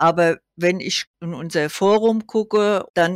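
A woman talks at medium pitch with ordinary pitch variation. The recording is very clean, with a silent background and a dry, close sound with no echo. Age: 80s+. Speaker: patient association volunteer, former chairwoman. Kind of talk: casual chat.

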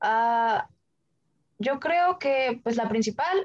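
A woman's fairly high voice moves along at a very slow pace. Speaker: engineering student. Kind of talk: interview.

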